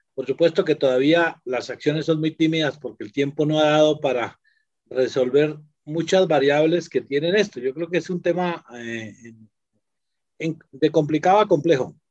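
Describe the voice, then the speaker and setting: A man talks with ordinary pitch variation and a moderate pace in a plain, everyday voice. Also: fairly high pitch for a man. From Colombia. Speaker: quality assurance executive. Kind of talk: panel discussion.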